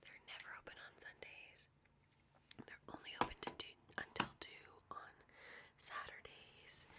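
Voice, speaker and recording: A woman whispers at a fairly slow pace, breaking her words with long, frequent pauses. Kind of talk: ASMR whisper ramble, life update. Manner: whispered.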